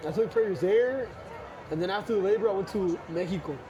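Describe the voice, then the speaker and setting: Fairly quick, lively intonation over audible room echo and noticeable background noise. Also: man. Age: young. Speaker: missionary. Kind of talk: casual chat. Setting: outdoors in a plaza, eating. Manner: casual, code-switching Spanglish.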